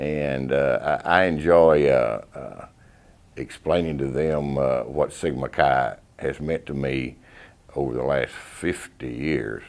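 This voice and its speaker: A man's very deep, low pitch at a very slow pace, fairly even intonation, and a Texan accent over noticeable background noise. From Texas. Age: 60s. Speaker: fraternity alumnus. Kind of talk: interview testimony. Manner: halting.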